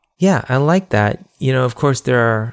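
A man with a normal speaking voice talks at a medium pitch with ordinary pitch variation. The recording is very clean and dry, with a silent background and no echo. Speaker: podcast host. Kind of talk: podcast interview.

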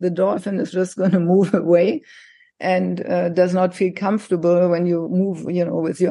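A woman with a German accent speaks at a moderate pace in a dark, mellow tone, her fairly low voice held in a monotone, flat intonation against a quiet background. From Germany, countryside. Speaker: psychologist and life coach. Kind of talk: interview.

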